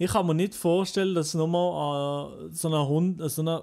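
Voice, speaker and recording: A man's dark, mellow tone, high in pitch, with ordinary pitch variation and a fairly slow pace, in a very clean recording with a silent background. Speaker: YouTuber. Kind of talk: casual chat.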